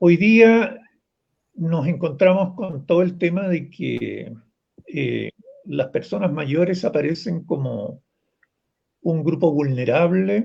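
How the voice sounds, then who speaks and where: A man with a high pitch and lively intonation talks at a very slow pace, with long, frequent pauses. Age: 70s. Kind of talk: panel discussion.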